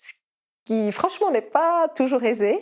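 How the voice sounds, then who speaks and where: A woman's voice on a very clean recording against a silent background. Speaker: kinesiologist. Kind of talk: podcast interview. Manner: hesitant, many fillers.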